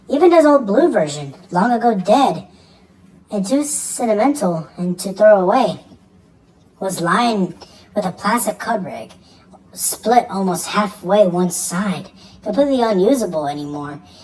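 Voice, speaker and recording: A female-sounding voice performs a put-on character at a medium pitch. Long, frequent pauses break up the delivery. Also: moderate pace. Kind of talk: horror narration. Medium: read story. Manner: halting, stumbling over words.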